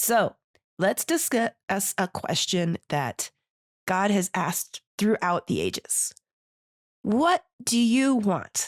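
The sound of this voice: In a put-on character voice that is raspy and croaky, a woman at a medium pitch speaks at a very slow pace with very wide pitch swings, in a very clean recording with a silent background and a dry, close sound with no echo.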